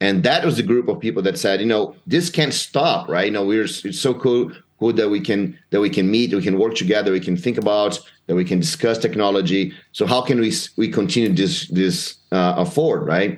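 His pitch fairly low, a man speaks with very wide pitch swings. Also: moderate pace. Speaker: user group founder. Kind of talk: interview. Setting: video call.

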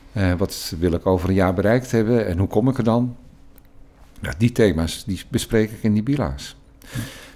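With ordinary pitch variation, the man speaks in a dark, mellow tone. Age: 60s. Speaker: interim school leader. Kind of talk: interview conversation.

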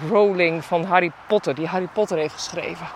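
Background noise is clearly audible as a woman talks. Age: 40s. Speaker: podcast host and shop owner. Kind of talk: solo podcast monologue. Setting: outdoors, walking in the mountains. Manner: animated.

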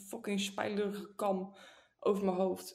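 A woman speaks at a very slow pace. Room echo can be heard. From northern Netherlands. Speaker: podcast co-host. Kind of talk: casual chat.

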